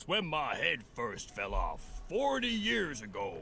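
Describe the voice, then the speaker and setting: Amid clear background noise, a man performs a raspy, put-on character voice at a fairly slow pace. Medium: video game.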